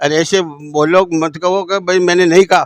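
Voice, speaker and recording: A man's high-pitched, monotone, flat voice, dry and close with no echo. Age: 70s. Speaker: party worker making a complaint. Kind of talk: testimony.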